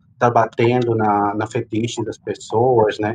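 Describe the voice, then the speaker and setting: In a Spanish accent, a man speaks somewhat breathily at a medium pitch and a fairly slow pace. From Peru. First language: Spanish (speaking Portuguese). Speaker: drag performer and migrant. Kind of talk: interview testimony. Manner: animated.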